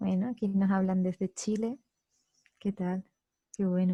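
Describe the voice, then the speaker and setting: A woman speaks very slowly in a flat monotone, at a medium pitch with a Spanish accent. Her tone is dark and mellow, somewhat breathy, and the sound is dry and close with no echo. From southern Spain, Andalusia. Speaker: psychology course instructor. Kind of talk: online lecture.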